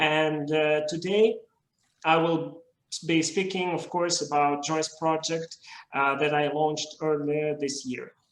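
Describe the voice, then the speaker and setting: A man with a Russian accent speaks at a very slow pace, his fairly high pitch held in monotone, flat intonation. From Russia, Moscow. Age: young. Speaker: literary video creator. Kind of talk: conference talk. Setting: video call.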